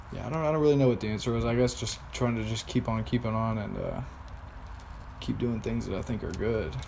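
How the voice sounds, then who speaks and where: A man at a medium pitch, with ordinary pitch variation, a very fast pace and audible room echo. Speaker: vlogger. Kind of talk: personal video diary.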